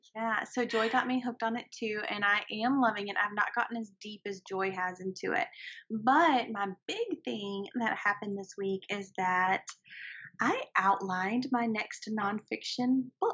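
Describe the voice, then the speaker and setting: A woman's fairly high voice in a Southern US accent, fairly slow, with ordinary pitch variation. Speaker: writer and podcast co-host. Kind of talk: casual chat.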